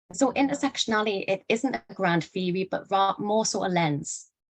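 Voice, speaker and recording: A woman speaks with lively intonation in a dry, close sound with no echo. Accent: northeast English. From northeast England. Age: 20s. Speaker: educator / speaker on human rights. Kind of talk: lecture. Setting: online live event.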